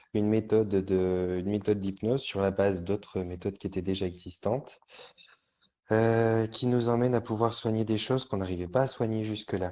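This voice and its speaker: Speaking at a fairly quick pace, a man uses a dark, mellow tone and a fairly low pitch. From France, Auvergne (Volvic). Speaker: hypnotherapist and trainer. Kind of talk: interview. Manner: hesitant, many fillers.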